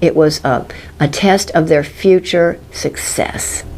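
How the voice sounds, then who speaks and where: There is noticeable background noise as a woman speaks with a fairly low pitch. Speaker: teacher and educator. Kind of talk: teaching tutorial for educators. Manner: animated.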